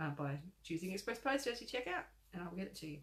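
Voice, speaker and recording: Showing vocal fry, a woman with an Australian accent talks at a fairly quick pace with very wide pitch swings. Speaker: crochet designer. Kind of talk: casual live-stream chat. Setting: live video chat. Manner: animated.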